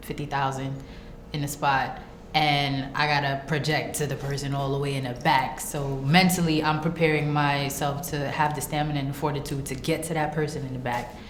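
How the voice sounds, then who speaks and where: A woman with a Brooklyn accent talks at a fairly quick pace, her very deep, low pitch held in a monotone, flat intonation. Audible room echo and noticeable background noise fill the recording. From Brooklyn, New York. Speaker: rapper. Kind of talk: interview. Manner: casual.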